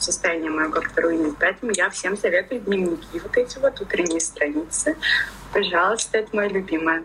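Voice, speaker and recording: A woman at medium pitch speaks at a fairly quick pace with lively intonation and very even loudness. Noticeable background noise runs underneath. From Russia, Ufa (Bashkortostan). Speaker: tattoo artist. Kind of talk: casual chat.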